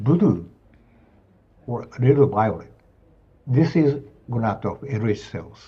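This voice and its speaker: In a Japanese accent, a speaker with a dark, mellow, somewhat breathy tone talks at a very slow pace with long, frequent pauses, and audible room echo surrounds the voice. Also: man, medium pitch for a man, lively intonation. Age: 70s. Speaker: professor of anatomy. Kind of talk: lecture. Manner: halting.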